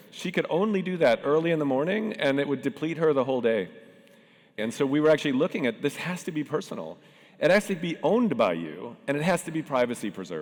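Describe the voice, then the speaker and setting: At a very fast pace, a man talks with vocal fry, a fairly high pitch and lively intonation. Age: 60s. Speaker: tech founder and panel moderator. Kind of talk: conference panel talk.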